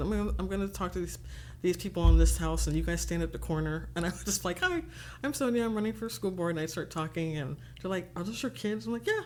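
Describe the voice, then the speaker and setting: A soft-spoken woman talks at a very fast pace with an American accent. Noticeable background noise is present. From Texas. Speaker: political candidate. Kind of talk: interview conversation. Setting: studio. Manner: soft-spoken, quiet.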